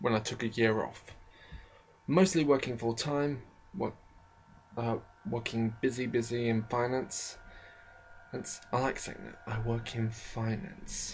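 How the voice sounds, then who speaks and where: With music in the background, a man at a medium pitch speaks at a fairly slow pace, using ordinary pitch variation and long, frequent pauses. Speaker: college student. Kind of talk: casual talk to camera. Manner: rambling, hesitant.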